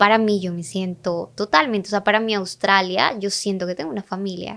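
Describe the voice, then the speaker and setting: A woman with a medium pitch keeps up a fairly quick pace. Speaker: digital marketing mentor and entrepreneur. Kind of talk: podcast interview. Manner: animated.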